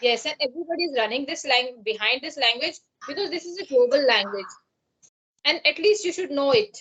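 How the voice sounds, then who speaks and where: A woman speaks with a Pakistani accent in a high, bright, sharp voice. Her pace is fairly quick and her intonation lively. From India, Uttarakhand. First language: Pahari. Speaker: English learner. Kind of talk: conversation practice. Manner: halting.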